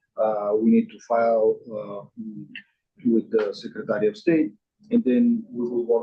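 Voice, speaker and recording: Speech moves at a moderate pace. The speaker has a non-native accent. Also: man. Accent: noticeable foreign. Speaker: state building code official. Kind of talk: staff report at public meeting. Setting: meeting room, streamed on Zoom. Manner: hesitant, many fillers. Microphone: too far from microphone, quiet on Zoom.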